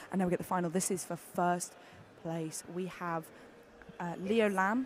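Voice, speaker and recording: With a British accent, the speaker keeps a moderate pace broken by long, frequent pauses. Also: woman. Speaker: climbing competition commentator. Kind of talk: live commentary. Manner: animated.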